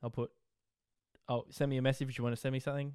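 Talking very fast, a man with an Australian accent has a dark, mellow tone. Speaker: podcast host. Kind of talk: casual solo monologue.

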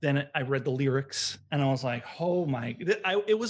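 Here a man speaks with an American accent. His voice is fairly high and somewhat breathy. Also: quiet background. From US Northeast (Long Island, New York). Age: 40s. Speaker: vegan baker and small business owner. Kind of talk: casual interview.

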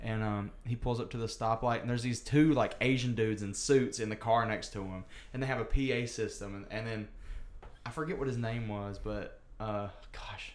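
A man with a Southern US accent, medium in pitch, at a moderate pace. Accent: country Southern. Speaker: podcast host. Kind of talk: casual chat.

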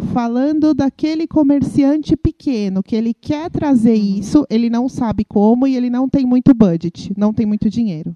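A woman with a high voice and a dark, mellow tone speaks at a moderate pace with lively intonation and hardly any pauses, the sound dry and close with no echo. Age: 40s. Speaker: podcast host. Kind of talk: interview. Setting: recorded at an agency.

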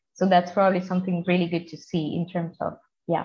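A somewhat breathy woman's voice, fairly low in pitch, with a Spanish accent. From Colombia. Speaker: environmental engineer. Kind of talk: interview.

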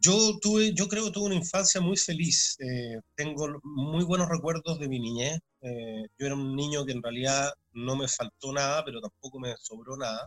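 With a plain, everyday voice, a man of fairly high pitch speaks at a moderate pace with lively intonation in a dry, close sound with no echo. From Chile, Santiago. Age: 40s. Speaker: sports commentator. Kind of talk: interview.

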